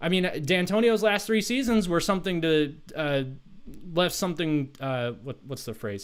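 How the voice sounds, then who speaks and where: Loud and high-pitched, a man speaks at a moderate pace with very wide pitch swings. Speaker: sports livestream host. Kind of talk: livestream sports commentary. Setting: live stream. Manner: animated.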